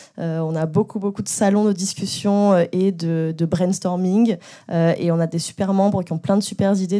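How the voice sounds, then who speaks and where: A woman with a dark, mellow tone speaks at a fairly slow pace with fairly even intonation over a quiet background. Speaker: panel moderator. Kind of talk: panel moderation. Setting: stage with audience. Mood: friendly, smiling. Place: hall. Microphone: handheld.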